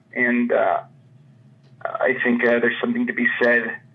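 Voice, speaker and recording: A man with an American accent at a moderate pace, with noticeable background noise. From Chicago suburbs, US Midwest. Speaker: comics writer. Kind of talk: interview.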